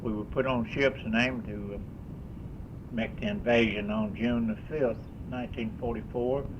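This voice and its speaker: Speaking in a monotone, flat way with an American accent, a man keeps a medium pitch and moderate pace, leaving long, frequent pauses amid audible room echo. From Kentucky. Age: 80s+. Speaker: war veteran. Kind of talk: testimony. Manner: halting.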